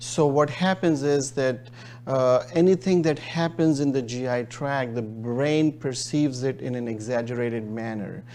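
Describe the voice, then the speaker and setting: A man speaks in a Pakistani accent at a medium pitch. His pitch varies in an ordinary way. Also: moderate pace. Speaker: gastroenterologist. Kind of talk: interview. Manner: hesitant, many fillers.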